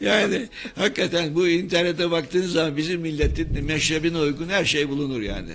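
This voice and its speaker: At a moderate pace, a man speaks with lively intonation and fairly high pitch over noticeable background noise. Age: 60s. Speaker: professor of medicine. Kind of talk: radio interview. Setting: radio studio.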